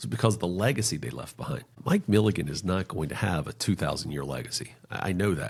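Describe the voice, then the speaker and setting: A man with an American accent talks at a very fast pace with hardly any pauses. His very deep, low voice has vocal fry and very wide pitch swings. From North Carolina, US South. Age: 40s. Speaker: financial planner. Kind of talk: podcast interview. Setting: podcast.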